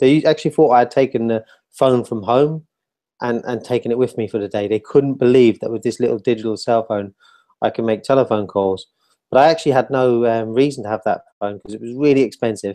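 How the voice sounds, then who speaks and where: Over a quiet background, a man with a dark, mellow tone talks very fast with fairly even intonation. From Ireland. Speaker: mobile health entrepreneur; webinar presenter. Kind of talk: interview on a video call. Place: home room. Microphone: video call.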